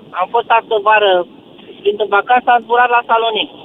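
A man speaks at an extremely high pitch amid noticeable background noise. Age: 70s. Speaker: radio caller. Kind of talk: phone-in call.

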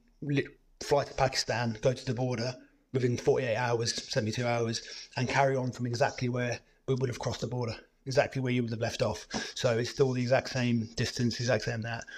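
Fairly quick, somewhat breathy speech in a monotone, flat intonation. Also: man, medium pitch for a man. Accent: British. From Cyprus. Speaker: adventurer, former marine. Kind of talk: casual interview chat.

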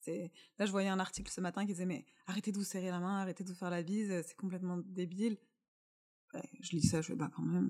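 A woman with a dark, mellow tone speaks at a very fast pace with long, frequent pauses and big swings in loudness. Her pitch is medium and her intonation fairly even. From France. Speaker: employee of small content company. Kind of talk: casual chat.

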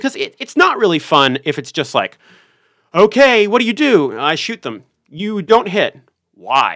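Speaking with an American accent at a moderate pace, a man with a high pitch and a bright, sharp tone swings his pitch very widely in a dry, close recording with no echo. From US South, Richmond, Virginia. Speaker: tabletop role-playing game enthusiast. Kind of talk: casual interview chat.

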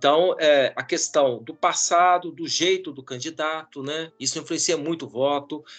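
Over background music, a man with a fairly high pitch talks at a fairly slow pace, his loudness swinging widely. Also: fairly even intonation. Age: 50s. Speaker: professor and pollster. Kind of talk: interview.

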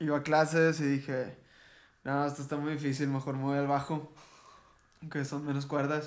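A man talks at a moderate pace in a fairly high pitch, with monotone, flat intonation. Long, frequent pauses run through his speech. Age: 20s. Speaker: rock band vocalist. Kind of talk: casual chat.

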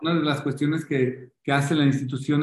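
Here a man speaks with a fairly high pitch. His pace is moderate and his intonation fairly even. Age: 40s. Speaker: football club marketing director. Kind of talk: interview. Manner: halting.

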